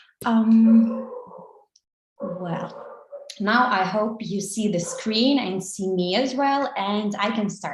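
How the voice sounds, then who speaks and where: A woman speaks at a very slow pace, her pitch varying in an ordinary way. Long, frequent pauses break up her speech, and room echo is audible. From Ukraine. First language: Russian and Ukrainian. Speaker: social media marketing agency co-owner. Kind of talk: online conference lecture. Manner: halting, many fillers.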